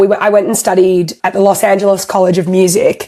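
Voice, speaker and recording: A woman with an Australian accent at a medium pitch and moderate pace. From Australia (Melbourne). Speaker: singer-songwriter. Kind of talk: interview. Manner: animated.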